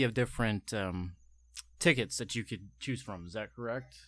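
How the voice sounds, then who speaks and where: Recorded very cleanly with a silent background, a man uses a normal speaking voice. He talks at a fairly quick pace with lively intonation. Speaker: podcast host.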